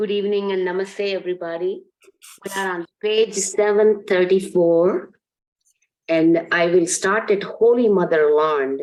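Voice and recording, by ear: Speaking at a fairly slow pace, a woman has a medium pitch and a slightly mellow tone. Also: ordinary pitch variation.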